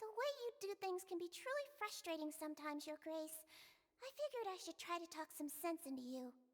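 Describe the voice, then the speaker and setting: In a put-on character voice, a woman speaks squeaky and at an extremely high pitch, at a fairly quick pace with very wide pitch swings. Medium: video game. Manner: polite, earnest.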